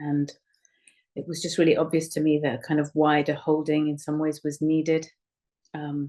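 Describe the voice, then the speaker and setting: A woman speaks at a moderate pace with a very deep, low pitch. Her tone is dark and mellow. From Kenya, Indian community. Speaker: writer and activist. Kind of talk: personal reflection on an online witnessing call. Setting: online group call. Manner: hesitant, many fillers.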